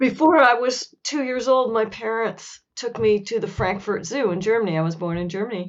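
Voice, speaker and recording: With a plain, everyday voice, a woman speaks at a moderate pace and fairly high pitch, with ordinary pitch variation and hardly any pauses. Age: 60s. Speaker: author. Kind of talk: interview.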